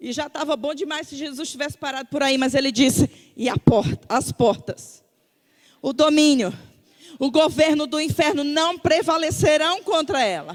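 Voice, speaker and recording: Her pitch is high and varies an ordinary amount. The woman keeps a moderate pace and an animated tone. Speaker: preacher. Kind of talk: sermon.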